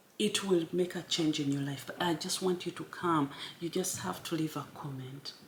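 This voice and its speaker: Over noticeable background noise, a woman talks at a moderate pace with a very deep, low pitch. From Uganda. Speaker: YouTuber. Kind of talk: motivational talk. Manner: casual.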